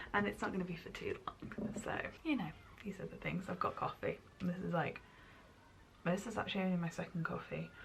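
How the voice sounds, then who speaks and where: Soft-spoken and at a fairly quick pace, a woman talks with long, frequent pauses over noticeable background noise. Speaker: lifestyle vlogger. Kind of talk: casual vlog talk to camera. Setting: at home.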